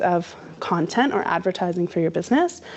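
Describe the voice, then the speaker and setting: A woman with a Canadian accent talks at a moderate pace with lively intonation. Hers is an ordinary speaking voice. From Canada. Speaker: social media marketer. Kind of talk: workshop presentation. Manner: casual, conversational.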